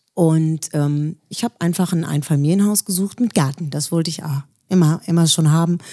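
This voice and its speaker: A woman's fairly low, dark, mellow voice at a moderate pace. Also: ordinary pitch variation. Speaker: singer. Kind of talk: interview.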